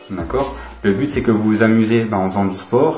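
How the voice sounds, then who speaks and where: A man speaks with music in the background and audible room echo. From northern France, Roubaix. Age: 20s. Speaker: sports coach, capoeira instructor. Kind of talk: exercise tutorial. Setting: at home, dining room.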